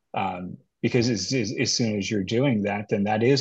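A somewhat breathy man at a moderate pace, fairly even in intonation, against a quiet background. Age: 50s. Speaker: healthcare HR executive. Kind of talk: casual chat.

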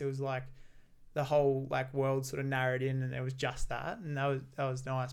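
Here a man speaks with an Australian accent. His pace is fairly quick and his pitch medium. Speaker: podcast host. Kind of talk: casual interview chat.

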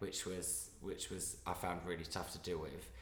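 With an Essex accent, the speaker keeps a moderate pace amid audible room echo. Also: man. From Essex, England. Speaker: actor. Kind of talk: casual chat.

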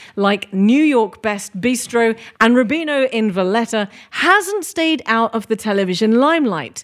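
A woman with a plain, everyday voice speaks at a fairly slow pace, her fairly high pitch moving with lively intonation. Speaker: podcast host. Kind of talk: interview.

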